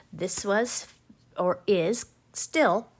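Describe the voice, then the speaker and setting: In a very clean recording with a silent background, a woman speaks at a medium pitch with ordinary pitch variation, in an ordinary speaking voice. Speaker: paper craft demonstrator. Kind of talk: live crafting tutorial. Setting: home livestream. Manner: chatty, upbeat.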